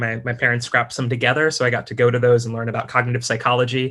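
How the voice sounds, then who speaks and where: Speaking very fast, a man uses a bright, sharp tone at a medium pitch. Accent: American. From US, New York area. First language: Russian. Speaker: science communication specialist. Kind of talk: talk to an audience. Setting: video call. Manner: many fillers (um, uh).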